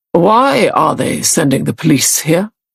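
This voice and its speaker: In a put-on character voice at a middle pitch, the speaker moves along at a moderate pace. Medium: read story. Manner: short, clipped.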